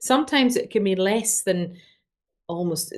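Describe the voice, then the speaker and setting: A woman speaks with a Scottish accent. Her pitch varies in an ordinary way. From Scotland, Glasgow. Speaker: doctor. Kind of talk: interview.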